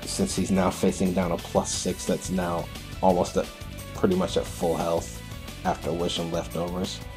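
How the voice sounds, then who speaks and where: Over music in the background, a man with a very deep, low pitch talks at a moderate pace with ordinary pitch variation. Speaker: gaming commentator. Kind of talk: game commentary narration. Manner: casual, hesitant with fillers.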